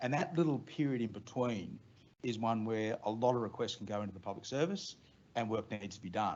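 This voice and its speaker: Here a man talks with an Australian accent at a fairly quick pace. His pitch is fairly low, with ordinary variation. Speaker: head of a government agency. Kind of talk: staff briefing. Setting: meeting room with online audience. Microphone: too far from the mic.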